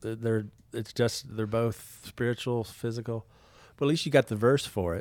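Recorded very cleanly against a silent background, a man speaks at a moderate pace in a medium pitch. He has a plain, everyday voice with fairly even intonation. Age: 50s. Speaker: pastor and podcast host. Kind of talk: casual faith conversation.

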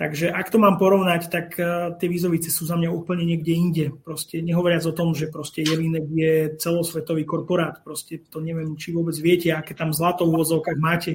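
Speaking at a fairly quick pace with hardly any pauses, a man has a high pitch and a monotone, flat intonation. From Slovakia. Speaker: whisky youtuber. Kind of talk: casual chat.

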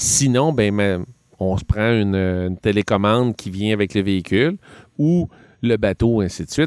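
A man with a Quebec accent, in a very clean recording with a silent background and a dry, close sound with no echo. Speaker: hobby shop employee. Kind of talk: casual chat.

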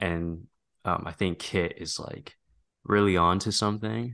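A man with a plain, everyday voice and fairly low pitch speaks at a moderate pace with fairly even intonation over a quiet background. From Canada. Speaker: filmmaker, actor. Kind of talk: casual interview chat.

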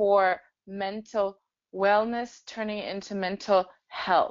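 Speaking at a fairly slow pace, a woman with a German accent keeps a medium pitch and a monotone, flat intonation. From Germany. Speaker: startup founder. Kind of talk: interview.

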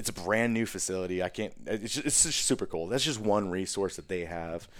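A man's very deep, low voice with an American accent, at a moderate pace with ordinary pitch variation. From US Midwest, Chicago and Wisconsin. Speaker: military veteran. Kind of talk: casual interview.

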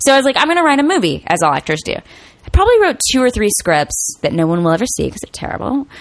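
A woman talks very fast at a high pitch with very wide pitch swings, against noticeable background noise. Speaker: actor. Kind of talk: casual interview chat.

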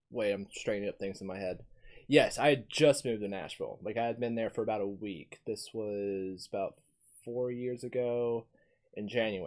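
This man has an American accent and a plain, everyday voice, speaking at a moderate pace with medium pitch and fairly even intonation. The recording is very clean with a silent background. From US South. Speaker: podcast host. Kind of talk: casual chat.

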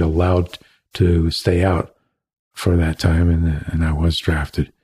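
On a very clean recording with a silent background, a man with an American accent speaks at a fairly slow pace in a dark, mellow, somewhat breathy tone. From Cleveland, Ohio, US Midwest. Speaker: leatherworker and former solar industry worker. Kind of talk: casual interview, storytelling.

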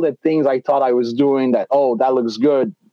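A fairly high-pitched man's voice in a Quebec accent. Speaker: baseball umpire. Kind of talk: casual interview.

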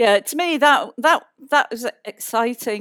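In a British accent, a woman speaks with lively intonation, the sound dry and close with no echo in a very clean recording with a silent background. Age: 60s. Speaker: planetary scientist. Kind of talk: live stage conversation with audience. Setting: stage with audience.

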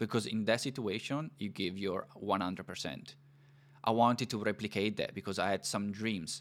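A man talks with a fairly low pitch and ordinary pitch variation. His pace is moderate. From northern Italy, near Milan. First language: Italian. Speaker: podcast host, immigrant. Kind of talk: interview podcast.

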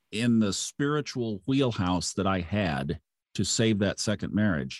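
An unremarkable speaking voice from a man with an American accent, fairly low in pitch, at a moderate pace with lively intonation, dry, close sound with no echo and a quiet background. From Oklahoma, Tulsa. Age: 60s. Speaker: astrology podcaster, former broadcaster. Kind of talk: interview, casual chat.

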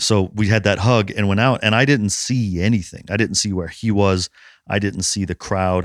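At a moderate pace, a man talks with fairly even intonation on a very clean recording with a silent background. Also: fairly low pitch for a man. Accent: New York. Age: 40s. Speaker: strongman athlete and podcast host. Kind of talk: casual chat.

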